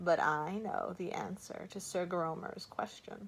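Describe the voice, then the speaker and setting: In a put-on character voice, a woman speaks croakily at medium pitch and a fairly slow pace. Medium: read story. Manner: cool, certain, blunt.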